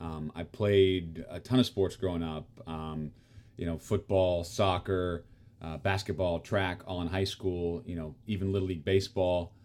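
This man has a very deep, low pitch and speaks with a US Midwestern accent. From Kansas, US. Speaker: actor and tennis player. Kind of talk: casual chat. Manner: halting, many fillers.

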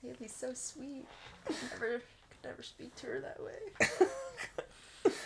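A woman with an American accent at a very slow pace, with big swings in loudness. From Texas. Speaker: guest. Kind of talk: casual chat.

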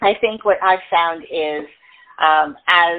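This woman has a fairly low pitch and a plain, everyday voice. She speaks at a fairly slow pace. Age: 60s. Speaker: self-care coach. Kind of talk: interview.

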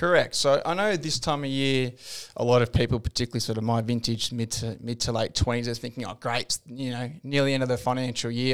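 With an Australian accent, the speaker moves at a fairly quick pace with fairly even intonation. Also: man. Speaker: financial planner. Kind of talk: casual chat.

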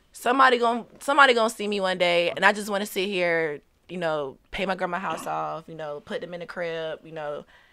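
On a very clean recording with a silent background, a woman with an ordinary speaking voice and fairly low pitch speaks at a fairly quick pace with lively intonation, big swings in loudness and hardly any pauses. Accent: American. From Virginia (Portsmouth, Hampton Roads). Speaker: rapper. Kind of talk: casual interview.

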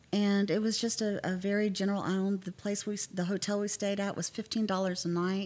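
With an American accent, a woman talks at a moderate pace in an ordinary speaking voice. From Texas, Fort Worth area. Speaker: travel agent. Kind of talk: casual chat.

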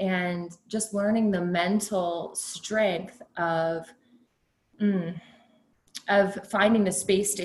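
With an American accent, a woman speaks at a medium pitch, sounding somewhat breathy. Her intonation stays fairly even. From Texas Hill Country. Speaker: pharmacist. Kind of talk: interview conversation.

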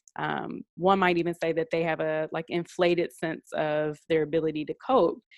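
A woman with a normal speaking voice talks at a moderate pace and fairly low pitch, with fairly even intonation and hardly any pauses, in a dry, close sound with no echo over a quiet background. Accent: American. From Detroit, US Midwest. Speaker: psychologist and professor. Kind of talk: interview.

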